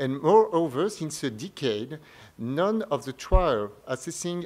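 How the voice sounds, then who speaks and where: Lively intonation runs through a man's speech in a French accent. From France. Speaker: medical oncologist. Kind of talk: conference press briefing presentation. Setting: press briefing at a medical conference. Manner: formal.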